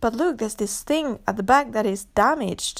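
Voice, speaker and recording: This woman talks with a French accent and an animated tone. The recording is very clean, with a silent background. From France. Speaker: podcaster. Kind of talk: solo rant monologue.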